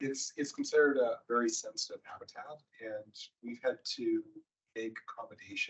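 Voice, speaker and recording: A soft-spoken man at a moderate pace. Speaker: project presenter. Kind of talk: design review meeting. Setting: virtual meeting. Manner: quiet.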